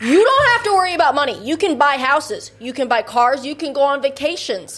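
Lively intonation marks this woman with an American accent, who talks at a fairly quick pace. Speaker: podcast co-host. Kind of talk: casual chat. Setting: studio.

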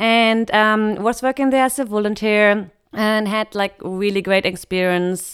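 Speaking with a German accent, this voice moves at a fairly slow pace with fairly even intonation and hardly any pauses. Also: woman, very even loudness, very clean recording, silent background. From western Germany near the Netherlands.

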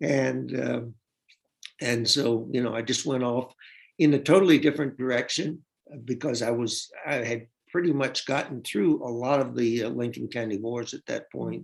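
A man at a moderate pace with vocal fry and ordinary pitch variation. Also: medium pitch for a man. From US South, Tennessee. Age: 70s. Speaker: novelist. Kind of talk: interview.

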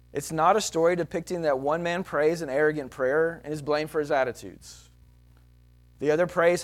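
Over music in the background, a man with a Texan accent speaks at a fairly quick pace and fairly high pitch with fairly even intonation. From Texas. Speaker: pastor. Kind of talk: sermon. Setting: church.

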